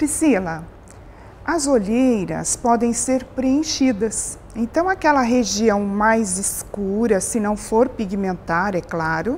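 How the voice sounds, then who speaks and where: Over noticeable background noise, a woman talks very slowly with a fairly high pitch and lively intonation. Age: 60s. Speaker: aesthetic doctor. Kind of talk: interview. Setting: TV program on location.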